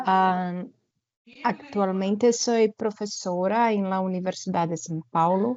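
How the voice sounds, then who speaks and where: A woman at a medium pitch, speaking at a very slow pace. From Brazil. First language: Portuguese (speaking Spanish). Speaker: university professor. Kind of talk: presentation at an online forum. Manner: halting, with fillers.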